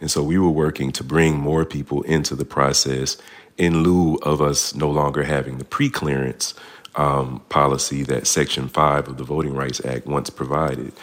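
Over noticeable background noise, a man speaks at a moderate pace in a very deep, low pitch with monotone, flat intonation. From Montgomery, Alabama. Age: 40s. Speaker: civic advocacy director and lawsuit plaintiff. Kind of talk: radio interview. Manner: halting, many fillers and repetitions.

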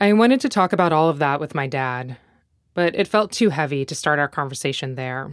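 In an American accent, a woman with a very deep, low pitch talks at a fairly quick pace with very wide pitch swings, on a very clean recording with a silent background. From North Carolina, US. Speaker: podcast host and journalist. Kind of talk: narrated interview documentary. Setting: childhood bedroom and father's home office.

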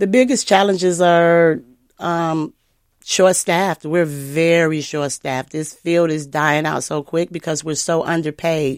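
A woman speaks at a fairly slow pace with fairly low pitch and ordinary pitch variation. The sound is dry and close with no echo, on a very clean recording with a silent background. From Mississippi. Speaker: nursing assistant. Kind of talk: radio interview. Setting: radio studio.

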